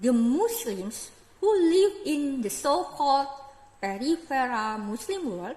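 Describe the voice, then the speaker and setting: A woman speaks at a very slow pace with a high pitch and very wide pitch swings. Audible room echo surrounds her voice. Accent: Indonesian. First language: Indonesian regional language, not English. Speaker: religious commentator vlogger. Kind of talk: lecture-style monologue.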